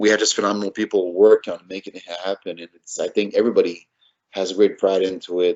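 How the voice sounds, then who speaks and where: The speaker talks at a fairly quick pace in a Quebec accent. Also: man. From Montreal North, Quebec. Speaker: city council candidate. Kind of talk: interview.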